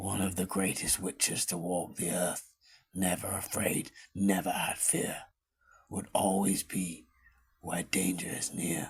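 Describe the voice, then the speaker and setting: A man puts on a cartoonish character voice that is raspy and very deep. He talks at a fairly slow pace in a monotone, flat intonation. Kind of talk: fireside storytelling narration. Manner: measured, reflective.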